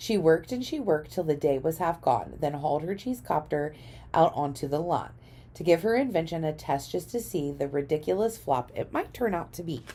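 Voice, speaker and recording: In a put-on character voice, a woman speaks at a fairly quick pace with a raspy sound and a very deep, low pitch. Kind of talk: children's picture-book read-aloud in rhyme. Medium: read story. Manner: rhythmic, gentle.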